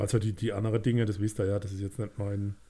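A man speaks with some breathiness. His tone is dark and mellow. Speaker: music podcast co-host. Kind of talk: casual chat.

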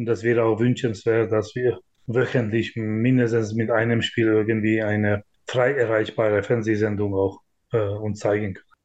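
A man speaks with a Hungarian accent at a medium pitch. His intonation is monotone and flat, at a fairly slow pace. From Hungary. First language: Hungarian (speaking German). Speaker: handball club managing director. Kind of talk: interview.

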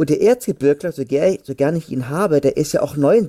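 Lively intonation marks a man's dark, mellow voice. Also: dry, close sound with no echo. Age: 30s. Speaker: football fan podcaster. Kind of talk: casual chat.

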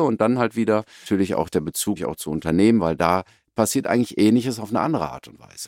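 A man's fairly low-pitched voice at a very fast pace with lively intonation, on a very clean recording with a silent background. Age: 40s. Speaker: sports scientist and company representative. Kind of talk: casual interview. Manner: animated.

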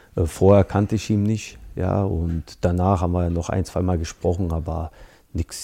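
In a very clean recording with a silent background, a man talks at a moderate pace in a very deep, low pitch. His dark, mellow tone is somewhat breathy, and his intonation stays monotone and flat. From Berlin and Bosnia. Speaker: former footballer and coach. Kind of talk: interview. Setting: studio.

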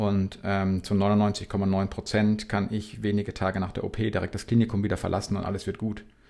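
Delivered in a monotone, flat intonation, the words come fairly quickly. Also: man. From Bavaria (Regensburg). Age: 40s. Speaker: para-cyclist. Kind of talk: interview.

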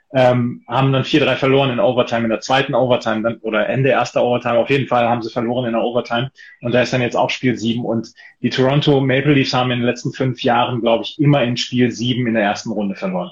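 Somewhat breathy and monotone with flat intonation, a man talks at a very fast pace. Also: medium pitch for a man. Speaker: football tipping podcast host. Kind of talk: casual chat. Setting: Instagram live video stream.

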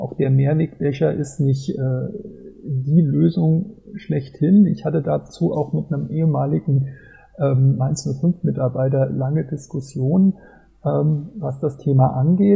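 A man speaks at a very slow pace, with long, frequent pauses. His pitch is fairly high for a man, with ordinary variation. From Germany, Mainz. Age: 40s. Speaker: football fan blogger and travel author. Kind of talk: casual interview.

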